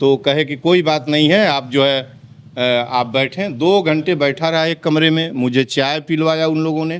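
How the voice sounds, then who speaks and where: The speech runs with hardly any pauses and ordinary pitch variation. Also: man, fairly high pitch for a man. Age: 60s. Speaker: activist. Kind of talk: interview. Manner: angry, animated.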